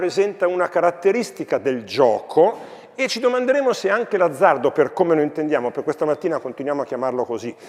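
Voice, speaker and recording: Against noticeable background noise, a man speaks in a high pitch with very wide pitch swings. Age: 60s. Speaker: philosophy professor and school educator. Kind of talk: talk to students.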